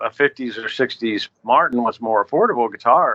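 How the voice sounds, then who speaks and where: This is a plain, everyday voice from a man. He talks at a moderate pace with ordinary pitch variation. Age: 60s. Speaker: bluegrass musician. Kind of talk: podcast interview.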